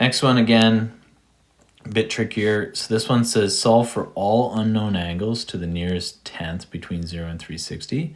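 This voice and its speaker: A normal speaking voice moves at a moderate pace with ordinary pitch variation and big swings in loudness. The recording is very clean, with a silent background. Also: man, fairly low pitch for a man. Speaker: math teacher. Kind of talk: tutorial.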